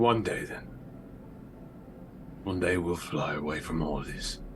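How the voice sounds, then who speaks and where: A man puts on a character voice with a very deep, low pitch, speaking at a fairly slow pace. Clear background noise is present. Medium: actual play. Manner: tired, understated.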